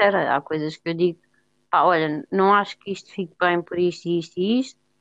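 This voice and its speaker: A woman at a moderate pace, medium in pitch, in a European Portuguese accent. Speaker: podcast co-host. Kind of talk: casual chat.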